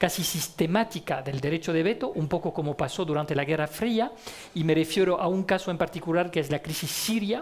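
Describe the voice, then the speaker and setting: His pitch is high and varies in an ordinary way. The man keeps to a moderate pace. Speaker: diplomat, debate moderator. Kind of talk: panel debate. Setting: stage with audience.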